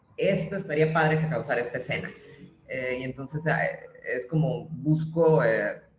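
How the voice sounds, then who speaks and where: A woman's very deep, low voice at a moderate pace with fairly even intonation, with audible room echo and noticeable background noise. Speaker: playwright. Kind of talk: interview conversation.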